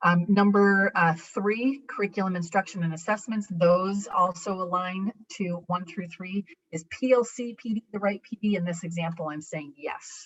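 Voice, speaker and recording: A woman with an American accent speaks at a moderate pace, her medium pitch showing ordinary variation and a somewhat breathy quality. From New York. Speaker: education presenter. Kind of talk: conference presentation.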